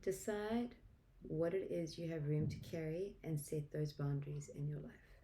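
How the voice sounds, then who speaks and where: Somewhat breathy, a woman speaks in a South African accent at a very deep, low pitch. Her pace is moderate. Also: ordinary pitch variation. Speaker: tarot reader. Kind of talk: tarot reading.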